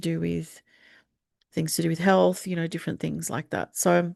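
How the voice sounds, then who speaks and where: Fairly quick pace from a woman with an Australian accent. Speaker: astrologer. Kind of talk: forecast talk with slides. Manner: hesitant, many fillers.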